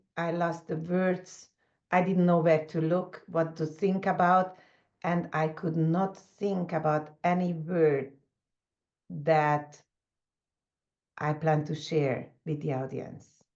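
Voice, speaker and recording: Speaking with a non-native accent, a woman talks at a very slow pace and fairly low pitch, in a monotone, flat intonation with long, frequent pauses. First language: not English. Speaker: leadership coach. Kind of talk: conversational interview. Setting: video call.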